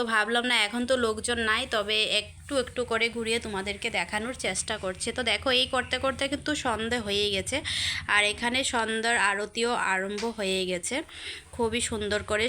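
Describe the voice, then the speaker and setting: Her bright, sharp tone sits at a fairly high pitch for a woman, with fairly even intonation. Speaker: vlogger. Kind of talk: casual vlog narration. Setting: outdoors at a temple.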